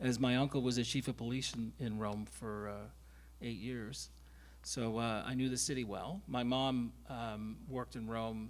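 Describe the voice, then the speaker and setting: Fairly even intonation at a moderate pace from a man, medium in pitch. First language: Friulian. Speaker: actor. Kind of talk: panel discussion.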